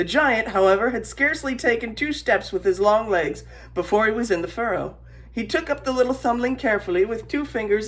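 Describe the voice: Plain reading aloud makes up this recording.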